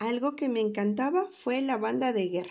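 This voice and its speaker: Over a quiet background, a woman with a warm tone talks at a moderate pace, using very wide pitch swings. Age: 30s. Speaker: primary school teacher. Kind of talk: autobiographical talk to children. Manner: warm, child-directed.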